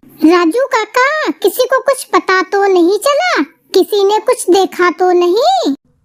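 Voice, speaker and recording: A woman does a squeaky, cartoonish character voice at an extremely high pitch, with lively intonation, very even loudness, a fairly slow pace and hardly any pauses. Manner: bossy, sharp.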